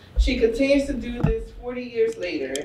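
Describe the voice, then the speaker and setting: A woman's voice comes through with audible room echo and light background noise. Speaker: after-school program director. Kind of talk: speaker introduction. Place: hall. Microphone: camera far.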